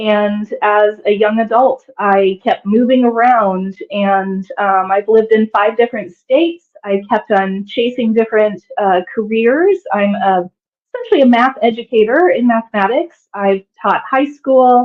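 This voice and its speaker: With a Midwestern American accent, a woman speaks at a fairly high pitch and a fairly slow pace. Her loudness stays very even, and she leaves hardly any pauses. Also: ordinary pitch variation. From US Midwest, Kansas. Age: 40s. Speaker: digital nomad, former math professor. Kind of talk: interview.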